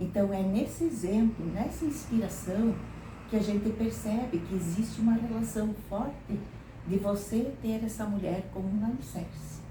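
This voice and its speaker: Audible room echo and noticeable background noise surround the recording. A woman speaks at a fairly slow pace. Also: medium pitch for a woman, ordinary pitch variation. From southern Brazil, Santa Catarina (São José do Cedro). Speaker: retired teacher. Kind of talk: interview.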